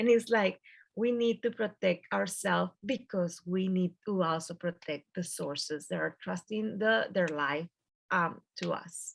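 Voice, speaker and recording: Speaking in a strong Mexican accent, a woman of medium pitch talks at a fairly slow pace with ordinary pitch variation. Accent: thick Mexican Spanish. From Mexico. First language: Spanish. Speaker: journalist. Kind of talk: panel discussion. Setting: video call.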